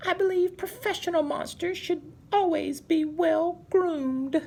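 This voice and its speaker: Someone speaks in a put-on character voice pitched extremely high, at a fairly slow pace. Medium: read story. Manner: polite, prim.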